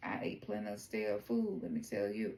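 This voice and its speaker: A woman speaks with a Southern US accent. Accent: Southern twang. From US South, Memphis, Tennessee. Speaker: oracle card reader. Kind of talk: tarot reading.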